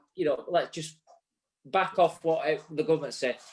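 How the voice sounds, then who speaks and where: At a fairly quick pace, a man talks in a Yorkshire accent with a fairly high pitch. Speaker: barbering show co-host. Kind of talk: casual live show chat. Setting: live online show. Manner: halting.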